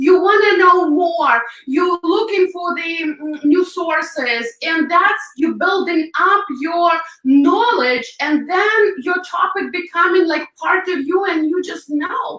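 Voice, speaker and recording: At a very slow pace, a woman with an extremely high pitch speaks in a Ukrainian accent, using ordinary pitch variation. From Ukraine. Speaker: hairstylist and makeup artist. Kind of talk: interview. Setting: live video stream.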